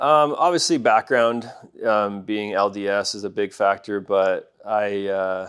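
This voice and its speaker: A man's fairly low-pitched voice with a slight Canadian accent. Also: ordinary pitch variation, fairly slow pace. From Alberta, Canada (rural farming community). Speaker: pest control business owner. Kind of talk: interview.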